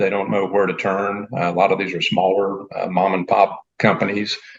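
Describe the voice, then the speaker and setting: Here a man has a normal speaking voice at a fairly low pitch. He talks at a moderate pace. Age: 60s. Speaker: business consultant. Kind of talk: interview answer.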